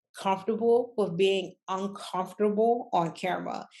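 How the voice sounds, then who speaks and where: With a quiet background behind her, a woman speaks fairly slowly in a plain, everyday voice with fairly even intonation. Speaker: business coach and online entrepreneur. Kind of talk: casual talk to camera. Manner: conversational, many fillers.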